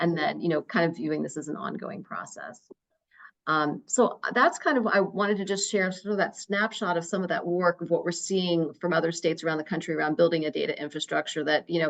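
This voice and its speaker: Fairly low-pitched woman with an American accent, at a fairly quick pace and with ordinary pitch variation. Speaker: researcher presenting to a state education council. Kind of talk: presentation at a public meeting. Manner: fast; many fillers and repetitions.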